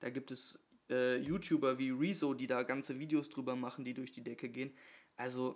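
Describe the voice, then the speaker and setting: A man speaks at a moderate pace in a plain, everyday voice. His pitch is medium, with fairly even intonation. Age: 20s. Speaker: podcast co-host, local politician. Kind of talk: casual chat. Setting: kitchen table at home.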